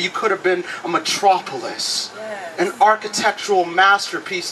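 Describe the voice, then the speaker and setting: Noticeable background noise runs behind a man talking at a moderate pace. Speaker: slam poet. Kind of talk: slam poetry performance.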